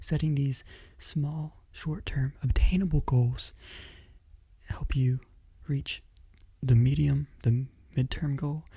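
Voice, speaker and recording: Soft-spoken and calm in tone, a man talks at a very slow pace. Long, frequent pauses break up his speech. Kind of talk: motivational book reading with commentary. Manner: soft-spoken, calm.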